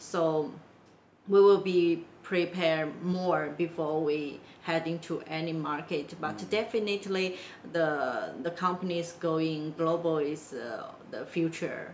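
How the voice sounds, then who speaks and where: A woman with a Chinese accent and a fairly low pitch talks at a fairly slow pace with fairly even intonation over noticeable background noise. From China, Wenzhou. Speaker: business consultant, company founder. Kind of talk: interview. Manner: halting, many fillers.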